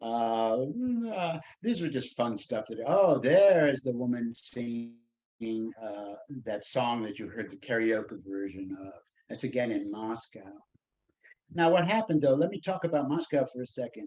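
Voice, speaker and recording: A man talks at a moderate pace and medium pitch. His tone is dark and mellow, with lively intonation. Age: 70s. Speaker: composer and performer. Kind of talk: casual chat. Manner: halting.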